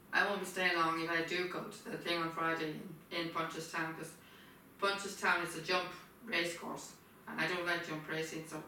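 A woman's low-pitched voice at a moderate pace, bright and sharp in tone, with little pitch movement and strong room echo

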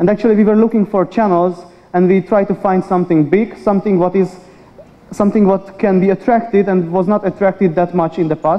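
A man speaks at a high pitch and a fairly quick pace. His loudness stays very even. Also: fairly even intonation. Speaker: media research industry manager. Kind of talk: conference presentation. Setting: stage with audience. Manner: fast talker. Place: hall.

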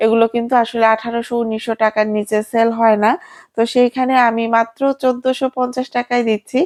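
In a very clean recording with a silent background, a woman talks at a fairly high pitch with monotone, flat intonation and very even loudness, the sound dry and close with no echo. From Bangladesh, Tangail. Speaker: vlogger and online clothing seller. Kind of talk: product showcase sales pitch.

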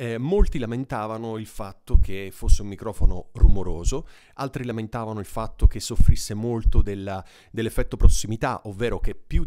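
Against a quiet background, a man with a fairly low pitch talks at a fairly quick pace with ordinary pitch variation. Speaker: mic reviewer. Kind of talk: tutorial. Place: studio.

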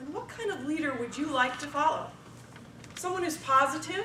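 A woman uses a raised, projected voice with lively intonation. Background noise is noticeable. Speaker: speech contestant, supervisor. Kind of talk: contest speech. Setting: stage with audience.

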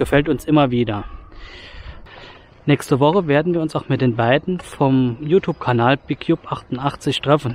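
This man talks at a moderate pace and medium pitch, with ordinary pitch variation and a slightly mellow tone.

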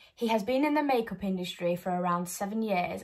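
A woman's somewhat breathy voice comes through against a quiet background. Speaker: presenter. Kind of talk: presentation of a marketing plan. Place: home room. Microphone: phone near.

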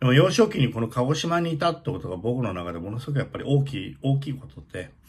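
A somewhat breathy male voice. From Japan, Kagoshima (Kanoya); Japan. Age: 60s. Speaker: opera stage director. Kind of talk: casual monologue vlog. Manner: hesitant, many fillers. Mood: nostalgic, warm. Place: home room. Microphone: phone near.

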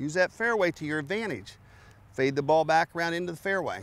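Fairly quick and fairly high-pitched, a man talks with lively intonation and a fairly bright tone.

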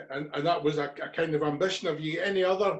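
A man with a Scottish accent, fairly high in pitch, monotone and flat in intonation at a moderate pace, with a quiet background. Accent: Scottish (Ayrshire). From Scotland. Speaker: podcast host. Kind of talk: interview. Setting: video call. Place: home room. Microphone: webcam.

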